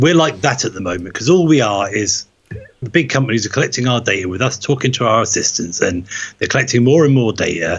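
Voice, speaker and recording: This man's voice is somewhat breathy. He rushes along at a very fast pace. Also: medium pitch for a man, lively intonation. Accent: Norfolk. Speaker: tech podcast host. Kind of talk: casual chat. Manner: animated.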